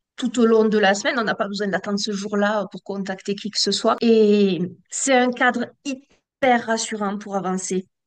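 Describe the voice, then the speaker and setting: Speaking at a fairly slow pace, a woman uses a plain, everyday voice. Her pitch is medium and her intonation fairly even. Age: 40s. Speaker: civil servant manager and coaching student. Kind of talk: testimonial interview.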